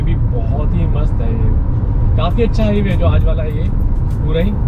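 The talking moves at a fairly slow pace over loud background noise. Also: man. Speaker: travel vlogger. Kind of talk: casual vlog chat. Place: car.

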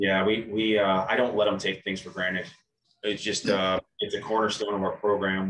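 There is audible room echo as a man talks at a fairly quick pace. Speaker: head coach. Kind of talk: interview answer. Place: meeting room. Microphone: video call.

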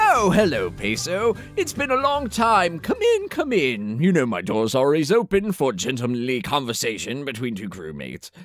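Using a put-on character voice, a man speaks at a fairly high pitch and a moderate pace with hardly any pauses. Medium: comedy sketch. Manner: pompous, rambling.

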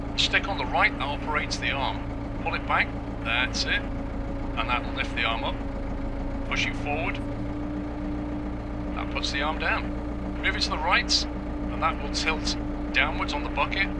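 With loud background noise behind him, a man talks at a moderate pace, leaving long, frequent pauses. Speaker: tractor driving instructor. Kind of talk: tutorial. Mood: calm, encouraging. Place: farm machine.

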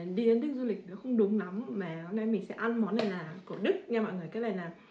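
Noticeable background noise accompanies a woman talking at a medium tempo, her pitch moving in a normal way. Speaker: vlogger. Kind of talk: casual vlog chat. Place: home room. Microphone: camera far.

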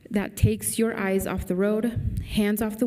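A woman talks with monotone, flat intonation. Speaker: council member. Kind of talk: formal proclamation reading. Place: hall. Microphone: podium.

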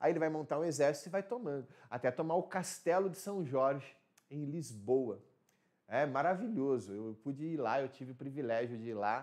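Here a man talks at a moderate pace with lively intonation and fairly high pitch. The background is quiet. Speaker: teacher. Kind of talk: lecture. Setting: live stream. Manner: animated. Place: studio.

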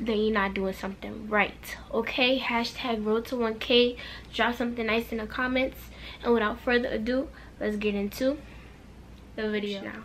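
At a moderate pace, a woman speaks in a flat monotone. Light background noise can be heard. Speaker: vlogger. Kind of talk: casual vlog chat. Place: home room. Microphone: camera far.

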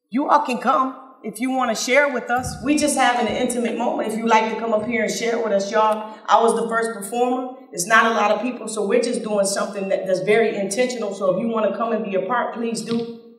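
Talking at a very fast pace with hardly any pauses, a woman with an American accent keeps a fairly high pitch and fairly even intonation over noticeable background noise. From Flint, Michigan. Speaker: spoken word artist. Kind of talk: casual talk to live audience. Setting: live stage, outdoors festival.

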